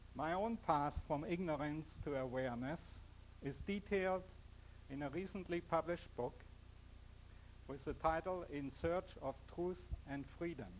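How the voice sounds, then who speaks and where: A man with a strong German accent, a fairly high pitch, and long, frequent pauses. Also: ordinary pitch variation. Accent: heavy German. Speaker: physicist and author giving a talk. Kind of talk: public lecture. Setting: stage with audience. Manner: slow.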